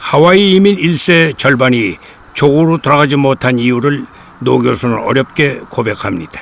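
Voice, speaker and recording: Against noticeable background noise, a man with a fairly high pitch and lively intonation talks at a fairly slow pace with long, frequent pauses. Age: 80s+. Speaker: documentary presenter. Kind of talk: documentary narration with interview.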